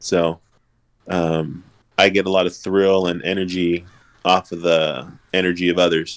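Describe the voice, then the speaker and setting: A man's very deep, low voice with an American accent, at a fairly slow pace, with monotone, flat intonation and long, frequent pauses. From Los Angeles, US. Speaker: realtor. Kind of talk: casual chat.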